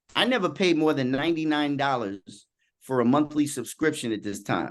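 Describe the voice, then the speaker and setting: Against a quiet background, the speaker uses an animated tone and lively intonation in a New York accent. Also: man. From US Northeast, Queens, New York City. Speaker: executive coach. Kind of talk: podcast interview.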